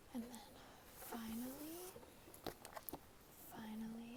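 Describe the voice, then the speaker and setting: A woman is speaking. She whispers. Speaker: ASMR creator. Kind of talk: ASMR book talk to camera. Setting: phone recording, no microphone. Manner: soft-spoken, whispering.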